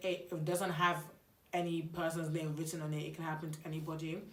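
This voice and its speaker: A woman's fairly low voice, animated in tone, at a moderate pace amid noticeable background noise and audible room echo. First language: not English. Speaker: YouTuber. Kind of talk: storytime vlog. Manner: casual, animated.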